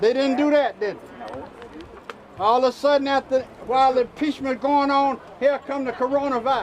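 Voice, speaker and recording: Over noticeable background noise, a man talks at a fairly quick pace in an extremely high pitch. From US South (Mississippi). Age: 70s. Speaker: preacher. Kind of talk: protest speech.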